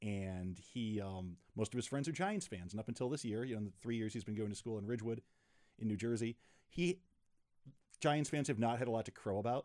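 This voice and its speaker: A man with an American accent has an unremarkable speaking voice at a medium pitch, with ordinary pitch variation, on a very clean recording with a silent background. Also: fairly quick pace. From western New York. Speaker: fintech executive. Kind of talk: casual chat. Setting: studio.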